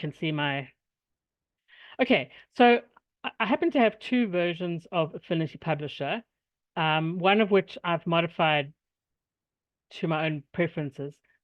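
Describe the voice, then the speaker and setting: A woman with a fairly low pitch talks at a moderate pace, using lively intonation, big swings in loudness, and long, frequent pauses. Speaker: workshop presenter, software tutorial teacher. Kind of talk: tutorial; casual chat.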